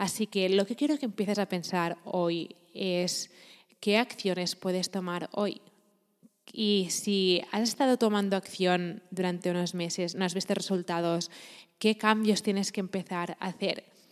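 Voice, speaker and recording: A woman talks at a fairly slow pace with fairly even intonation in an unremarkable speaking voice. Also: medium pitch for a woman. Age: 20s. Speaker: podcaster and entrepreneurship coach. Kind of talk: motivational monologue.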